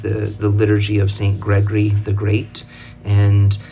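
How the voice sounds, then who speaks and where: A man with an American accent and a fairly low pitch speaks at a moderate pace over noticeable background noise. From United States. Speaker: religious commentator. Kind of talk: casual explainer talk to camera. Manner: halting, many fillers and restarts.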